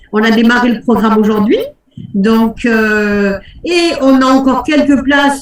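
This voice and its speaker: This woman's voice is pitched high. Its pitch moves in an ordinary way. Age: 60s. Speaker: life coach and hypnotherapist. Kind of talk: live webinar coaching talk. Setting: online webinar. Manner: animated.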